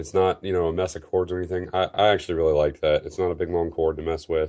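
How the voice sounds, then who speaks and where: A man's very deep, low voice with a dark, mellow tone at a fairly quick pace. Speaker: tech reviewer. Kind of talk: product review. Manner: casual, filler-heavy.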